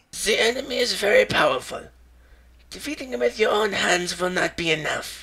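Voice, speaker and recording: Speaking fairly quickly, a man puts on a character voice pitched high. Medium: audio drama.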